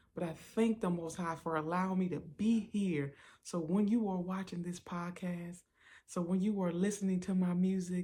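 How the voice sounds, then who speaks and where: On a very clean recording with a silent background, a woman speaks at a moderate pace in a somewhat breathy, dark, mellow tone with monotone, flat intonation. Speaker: podcast host and singer. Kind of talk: personal testimony podcast.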